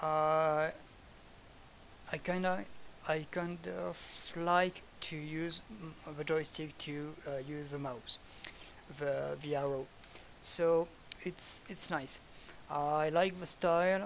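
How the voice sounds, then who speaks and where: Speaking with a French accent at a very slow pace, the voice leaves long, frequent pauses. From France. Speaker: gamer giving game feedback. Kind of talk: gameplay commentary. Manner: halting, many fillers.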